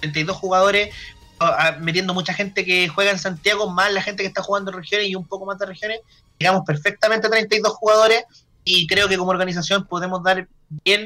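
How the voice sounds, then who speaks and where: A man with a Chilean accent speaks very fast in a raised, projected voice, high-pitched for a man, with a bright, sharp tone and fairly even intonation. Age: 30s. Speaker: card game tournament organizer. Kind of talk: casual interview chat.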